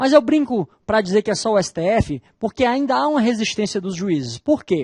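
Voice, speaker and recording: Against a quiet background with a dry, close sound and no echo, a man with a northeastern Brazilian accent talks at a moderate pace in a high pitch with very wide pitch swings. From Northeast Brazil. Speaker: law professor. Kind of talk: lecture.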